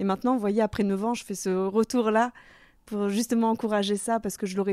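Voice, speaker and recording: A woman talks at a fairly quick pace and medium pitch, her dark, mellow tone held in a flat monotone. The recording is very clean and dry, close with no echo and a silent background. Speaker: podcast host. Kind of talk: interview.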